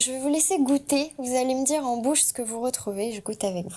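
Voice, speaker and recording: Very fast, a woman talks at a high pitch with ordinary pitch variation and a dark, mellow tone. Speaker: sensory workshop guide. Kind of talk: interview conversation.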